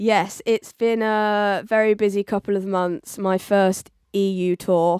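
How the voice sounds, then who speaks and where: Very slow and monotone, with flat intonation, the speech has a dry, close sound with no echo on a very clean recording with a silent background. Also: woman, medium pitch for a woman. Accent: English. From southern England, Oxford. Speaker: DJ and music producer. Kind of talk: radio interview.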